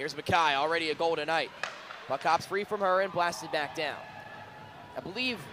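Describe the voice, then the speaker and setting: Bright and sharp in tone, a man's high voice shows ordinary pitch variation. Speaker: ice hockey TV play-by-play announcer. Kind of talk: live sports play-by-play commentary. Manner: fast, energetic.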